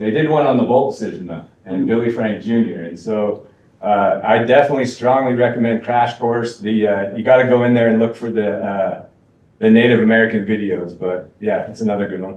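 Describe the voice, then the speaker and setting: At a fairly quick pace, a man speaks in an ordinary speaking voice at medium pitch with fairly even intonation. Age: 40s. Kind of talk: Q&A discussion. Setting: college event with live and online audience.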